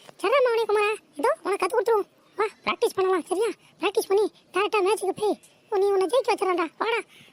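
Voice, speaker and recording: A woman puts on a squeaky, cartoonish character voice at an extremely high pitch, talking fairly quickly with ordinary pitch variation. Her loudness is very even, and the sound is dry and close with no echo. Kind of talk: comic overacting.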